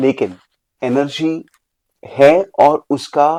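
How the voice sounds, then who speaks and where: This very clean recording has a silent background. In it, a man is talking. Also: dry, close sound with no echo. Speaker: leadership coach and author. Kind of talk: podcast interview. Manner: Hindi mixed with English.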